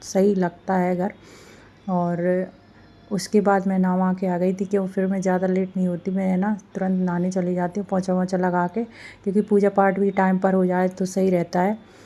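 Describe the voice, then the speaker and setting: Her tone dark and mellow, a woman speaks at a moderate pace in a medium pitch with monotone, flat intonation. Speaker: home vlogger, housewife and mother. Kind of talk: casual vlog voiceover narration. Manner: casual with many fillers.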